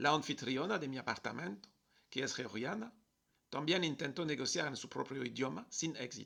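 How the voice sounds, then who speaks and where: A man speaks at a moderate pace with a French accent. His tone is bright and sharp, with vocal fry. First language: French (speaking Spanish). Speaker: travel vlogger. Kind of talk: personal video message.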